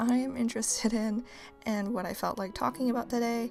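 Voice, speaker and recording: Music plays in the background. Over it, a woman talks at a fairly quick pace. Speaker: artist and art vlogger. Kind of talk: voiceover for art video.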